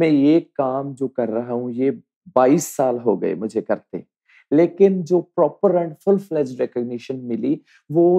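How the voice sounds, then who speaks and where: This man has an ordinary speaking voice with a fairly high pitch and ordinary pitch variation. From Punjab, India. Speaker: folk dancer and teacher. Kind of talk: interview.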